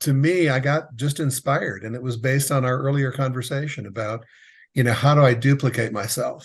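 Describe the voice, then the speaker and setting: A man's somewhat breathy voice at medium pitch, with ordinary pitch variation, a moderate pace and a quiet background. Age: 60s. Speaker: exit planning advisor for contractors. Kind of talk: interview.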